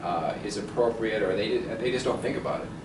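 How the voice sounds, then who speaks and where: A man's medium-pitched voice shows ordinary pitch variation, with noticeable background noise behind it. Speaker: fitness and mobility coach. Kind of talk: interview questions.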